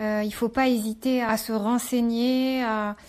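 A woman's fairly high, monotone voice with flat intonation over a quiet background. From Morocco. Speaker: entrepreneur. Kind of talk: interview.

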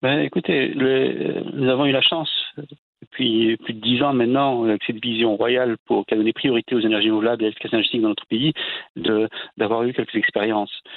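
This man has an ordinary speaking voice at medium pitch, with ordinary pitch variation and a fairly quick pace. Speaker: energy agency director. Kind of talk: interview.

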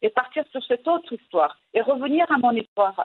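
A woman's high voice with a Moroccan accent. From Morocco. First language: Moroccan Arabic (speaking French). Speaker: storyteller and writer. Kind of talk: interview. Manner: halting.

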